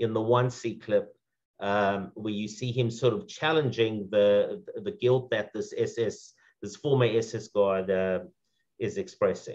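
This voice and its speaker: Speaking with a South African accent, a man talks at a fairly slow pace. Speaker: second-generation Holocaust survivor speaker. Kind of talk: panel remarks at commemoration event. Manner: halting, many fillers.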